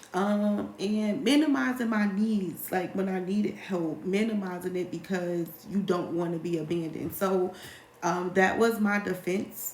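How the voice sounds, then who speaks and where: Female speech carrying ordinary pitch variation, with audible room echo and noticeable background noise. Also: medium pitch for a woman. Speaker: life coach. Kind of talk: live Q&A monologue. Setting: livestream.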